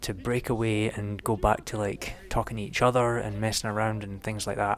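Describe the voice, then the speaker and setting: A soft-spoken man with a fairly low pitch, a flat monotone and a moderate pace. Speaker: photography vlogger. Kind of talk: vlog narration. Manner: halting.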